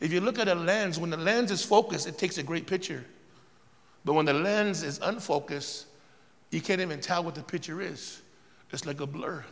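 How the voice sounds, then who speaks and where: An animated man with a high pitch and an American accent, ordinary pitch variation, at a fairly quick pace. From Southern California, Riverside area. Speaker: pastor. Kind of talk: sermon. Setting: church. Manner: animated, repetitive.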